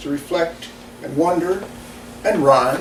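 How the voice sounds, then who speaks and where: A man talks fairly slowly, his words picking up audible room echo while noticeable background noise continues. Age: 70s. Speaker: poet. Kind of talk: reading aloud.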